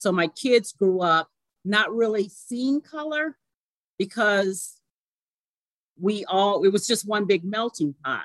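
With long, frequent pauses and a very slow pace, a woman speaks at medium pitch with lively intonation in a dry, close sound with no echo. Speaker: mortgage banker. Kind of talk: casual interview.

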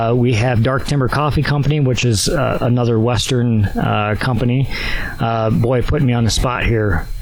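With an Upper Midwest US accent, a man talks at a fairly slow pace in a medium pitch, his intonation fairly even and his loudness very even, over noticeable background noise. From Wisconsin. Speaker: archery event organizer. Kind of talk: casual interview. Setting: outdoors at archery club.

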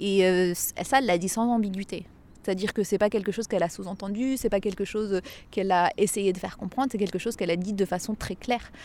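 This woman talks at a very fast pace with a medium pitch. Her intonation is fairly even. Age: 30s. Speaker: English teacher. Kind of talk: testimony. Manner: hesitant, with fillers and repetitions.

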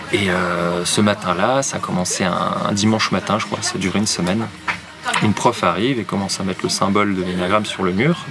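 Over noticeable background noise, a man talks very fast in a fairly low pitch. His intonation stays fairly even. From France, Nancy (Lorraine). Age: 30s. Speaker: therapist and enneagram coach. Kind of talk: casual interview. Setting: café.

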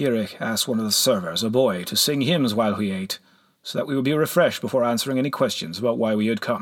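The pitch variation is ordinary as a natural reading voice is heard.

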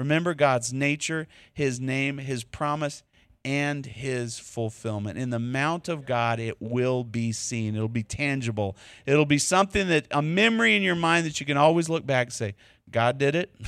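A man with a Texas accent, medium in pitch, at a moderate pace with ordinary pitch variation, on a very clean recording with a silent background. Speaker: preacher. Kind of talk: sermon. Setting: church.

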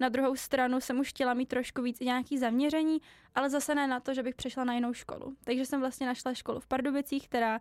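The woman's high voice holds a monotone, flat intonation. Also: very clean recording, silent background. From Czech Republic, Ústí region (Lovosice). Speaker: student. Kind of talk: podcast interview.

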